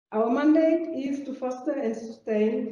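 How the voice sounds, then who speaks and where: A woman speaks very slowly with a French accent. Her tone is dark and mellow, with ordinary pitch variation. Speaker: geological survey organisation president. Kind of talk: conference presentation. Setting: conference room with audience. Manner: halting, with frequent hesitations.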